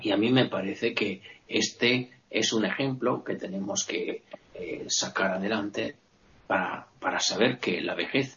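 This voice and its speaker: Lively intonation marks this man's unremarkable speaking voice. He talks at a fairly slow pace. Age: 40s. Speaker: occasional panelist. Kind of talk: panel discussion.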